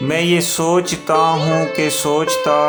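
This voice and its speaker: Music plays in the background. The speaker's pitch varies in an ordinary way. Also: man. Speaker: voice-over and spoken word artist. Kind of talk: poetry reading.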